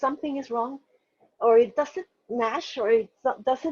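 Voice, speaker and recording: In a Spanish accent, a woman speaks at a high pitch and moderate pace with ordinary pitch variation, the sound dry and close with no echo. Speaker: novelist. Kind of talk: interview. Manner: halting, many fillers and restarts.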